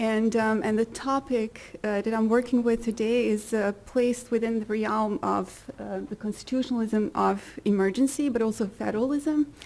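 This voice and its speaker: Speaking at a moderate pace with hardly any pauses, a woman uses a fairly high pitch and fairly even intonation. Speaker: lawyer and academic presenter. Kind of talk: conference talk. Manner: hesitant, many fillers.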